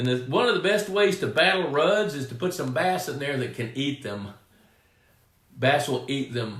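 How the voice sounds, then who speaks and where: Over noticeable background noise, a speaker with a Texan accent talks at a moderate pace with lively intonation. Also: man, fairly high pitch for a man. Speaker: pond management expert, live stream host. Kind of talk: live Q&A stream. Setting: home studio live stream. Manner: casual, conversational.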